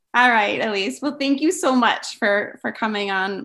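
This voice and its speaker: The intonation is lively and the pace moderate. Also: woman. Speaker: podcast host, declutter coach. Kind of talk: interview. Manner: enthusiastic.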